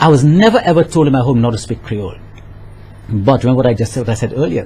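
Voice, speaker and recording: Noticeable background noise fills the audio while a man talks very fast. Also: medium pitch for a man, ordinary pitch variation. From Saint Lucia. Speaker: author. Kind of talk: radio interview.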